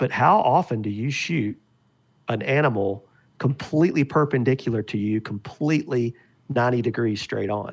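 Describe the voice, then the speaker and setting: In a very clean recording with a silent background, a man speaks at a moderate pace. He has a plain, everyday voice with medium pitch and ordinary pitch variation. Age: 50s. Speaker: arrow and broadhead maker. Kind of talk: casual chat.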